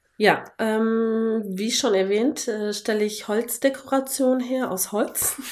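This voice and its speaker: Very slowly, this woman talks in a fairly high register, her intonation mostly level. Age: 30s. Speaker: wooden decor maker. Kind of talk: casual interview.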